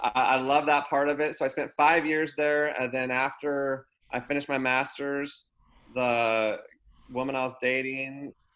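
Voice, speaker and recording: With an American accent, a man with a fairly high pitch speaks at a moderate pace in a flat monotone. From Oregon, US (Grants Pass). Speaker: college basketball assistant coach. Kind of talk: interview on a video podcast.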